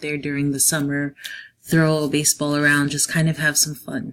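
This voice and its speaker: The speech comes at a very fast pace with an American accent. Its intonation is monotone and flat. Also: woman. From New Jersey / New York City area. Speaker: teacher. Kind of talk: class presentation. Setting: quiet room at home.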